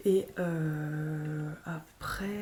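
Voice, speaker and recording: This voice has a dark, mellow tone and sounds somewhat breathy. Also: woman. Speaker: vlogger and small business owner. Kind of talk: casual vlog talk. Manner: hesitant, many fillers.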